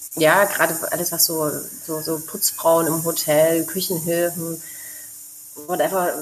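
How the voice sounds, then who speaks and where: A fairly low female voice comes through noticeable background noise. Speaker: expat mother living abroad. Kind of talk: casual interview chat.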